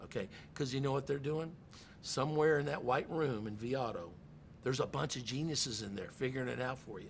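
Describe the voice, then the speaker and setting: Vocal fry runs through a man's medium-pitched voice as he talks at a fairly quick pace with ordinary pitch variation. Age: 60s. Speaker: car dealership general manager. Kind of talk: podcast interview. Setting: in a car dealership. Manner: animated.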